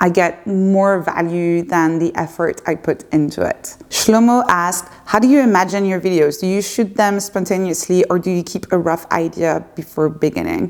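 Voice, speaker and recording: Over noticeable background noise, a woman with a French accent talks at a moderate pace and medium pitch, with ordinary pitch variation and hardly any pauses. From France (Paris). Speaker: YouTuber and community founder. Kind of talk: casual Q&A monologue. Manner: hesitant, with fillers.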